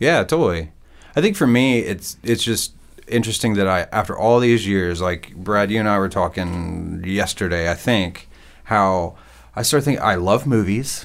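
With ordinary pitch variation, a plain, everyday voice proceeds at a moderate pace. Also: man, fairly low pitch for a man. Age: 40s. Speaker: podcast host. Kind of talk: casual chat. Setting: studio.

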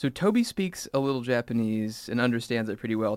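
A man with a West Coast US accent at a very fast pace. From Salem, Oregon, US Pacific Northwest. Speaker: songwriter and band frontman. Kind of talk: casual interview chat. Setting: studio.

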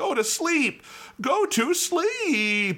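Doing a put-on character voice, a man speaks at an extremely high pitch with very wide pitch swings. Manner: soothing, lulling.

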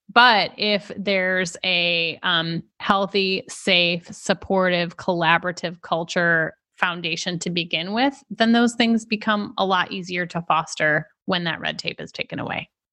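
A woman's voice has a bright, sharp tone and fairly even intonation. She speaks at a fairly slow pace with hardly any pauses. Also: medium pitch for a woman, quiet background. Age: 40s. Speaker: marketing executive. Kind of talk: interview.

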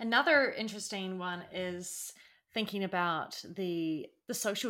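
A woman's medium-pitched, bright, sharp voice at a fairly slow pace. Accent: New Zealand. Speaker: podcast co-host. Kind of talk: casual chat.

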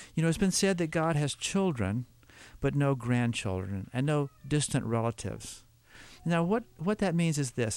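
On a very clean recording with a silent background, a man with a fairly high pitch speaks at a moderate pace, his loudness very even while his pitch swings very widely. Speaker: Bible teacher. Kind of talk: Bible teaching. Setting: studio.

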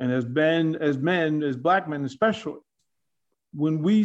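With a plain, everyday voice and an American accent, a man speaks at a moderate pace and fairly high pitch, with ordinary pitch variation. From Arlington, Virginia. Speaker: sportscaster and coach. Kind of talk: casual chat.

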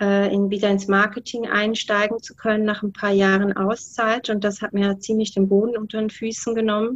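This woman's pitch is medium, and her intonation stays monotone and flat. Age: 40s. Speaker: guest sharing health story. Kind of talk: interview testimony. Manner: hesitant with many fillers.

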